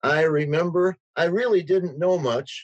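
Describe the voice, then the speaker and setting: An Upper Midwest accent at a fairly slow pace. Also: man. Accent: Upper Midwest American. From rural Wisconsin. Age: 70s. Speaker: teacher. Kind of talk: interview.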